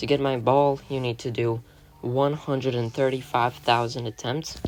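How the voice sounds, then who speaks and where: The talking proceeds at a moderate pace while noticeable background noise runs beneath it. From Latvia. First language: Latvian. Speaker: gaming YouTuber. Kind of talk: casual Q&A video. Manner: casual, hesitant with fillers.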